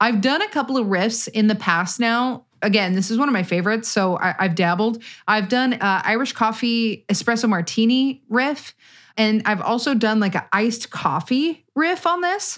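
On a very clean recording with a silent background, a woman with an unremarkable speaking voice talks at a moderate pace in a fairly high pitch, her loudness very even and her intonation lively. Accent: American. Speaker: podcast host. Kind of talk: casual chat.

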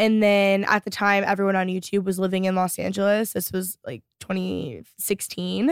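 In an American accent, a woman speaks at a moderate pace with medium pitch and a plain, everyday voice. The recording is very clean, with a silent background. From Texas, Dallas area. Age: 20s. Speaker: YouTuber and podcast host. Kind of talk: casual chat.

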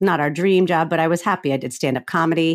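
A woman with an American accent uses a plain, everyday voice, fairly low in pitch with ordinary pitch variation at a fairly quick pace. The recording is very clean with a silent background and a dry, close sound with no echo. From Florida, US South. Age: 40s. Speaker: author and comedian. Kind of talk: interview about grief.

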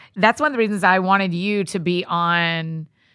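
A woman with a Southern US accent speaks at a moderate pace in a bright, sharp tone with a fairly low pitch. The recording is very clean, with a silent background. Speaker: podcast host. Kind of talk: interview. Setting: studio. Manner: animated.

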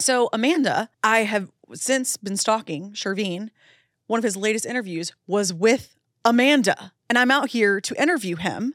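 Lively intonation from a woman at a fairly high pitch, on a very clean recording with a silent background. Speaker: podcast host, intuitive medium. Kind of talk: casual chat. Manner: fast talker.

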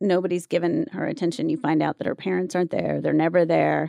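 The voice carries vocal fry. The sound is dry and close, with no echo. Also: woman. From US South, North Carolina (Wilmington). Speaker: actress and talent manager. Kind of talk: casual chat.

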